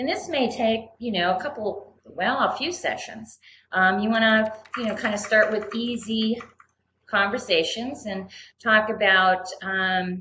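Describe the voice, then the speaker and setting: The pitch varies in an ordinary way, with audible room echo around the voice. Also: woman, fairly high pitch for a woman. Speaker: mentoring program coordinator. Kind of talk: online presentation. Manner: halting, many fillers.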